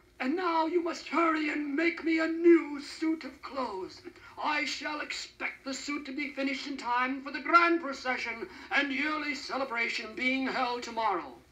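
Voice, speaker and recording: In a put-on character voice, a man talks at a moderate pace with an extremely high pitch. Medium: read story. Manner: pompous.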